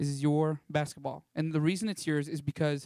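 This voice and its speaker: Dry and close with no echo, the sound carries a man with a Texan accent. His pitch is fairly high, and his pace is moderate. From Texas Panhandle (Canyon). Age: 20s. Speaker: missionary. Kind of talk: church talk with slides. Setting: church. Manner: animated.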